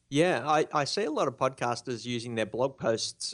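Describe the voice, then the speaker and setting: A man with an Australian accent talks at a moderate pace against a quiet background. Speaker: blogging expert, blog founder. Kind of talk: interview. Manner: soft-spoken.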